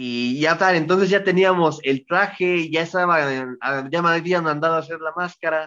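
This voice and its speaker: A man's high voice with fairly even intonation at a moderate pace. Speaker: professional wrestler. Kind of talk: interview.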